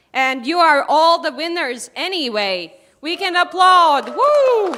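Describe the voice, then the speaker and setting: Over crowd noise in the background, a woman with an extremely high pitch projects a raised voice very slowly, her pitch swinging very widely. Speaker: event moderator. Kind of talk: live event hosting. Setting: stage with audience. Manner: loud. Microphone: no microphone.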